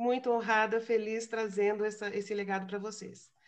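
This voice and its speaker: A woman's fairly high voice, flat and monotone, at a moderate pace. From Brazil. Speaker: philosophy lecturer. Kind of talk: lecture. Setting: video call webinar.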